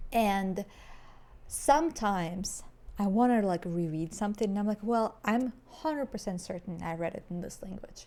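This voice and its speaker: A woman with a non-native accent speaks in a dark, mellow tone with lively intonation. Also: medium pitch for a woman, moderate pace, big swings in loudness. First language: not English. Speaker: podcast co-host. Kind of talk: casual chat.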